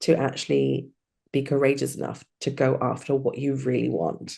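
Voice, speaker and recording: A woman with a British accent speaks at a moderate pace in a very deep, low pitch, with a dark, mellow tone and vocal fry. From UK. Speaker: hypnotherapy coach. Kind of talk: interview.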